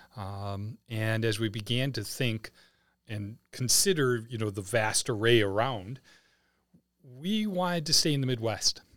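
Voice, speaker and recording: With a Wisconsin accent, a man speaks at a medium pitch with ordinary pitch variation on a very clean recording with a silent background. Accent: Wisconsin accent, noticeable O vowels. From Wisconsin, Milwaukee area. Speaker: head of a private school. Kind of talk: casual interview.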